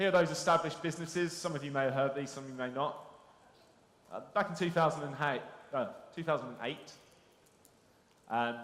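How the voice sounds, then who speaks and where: With a London accent, a man talks at a very fast pace in a fairly high pitch with ordinary pitch variation and long, frequent pauses, and audible room echo surrounds him. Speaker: conference speaker, SEO business. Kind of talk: conference presentation. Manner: conversational, interactive.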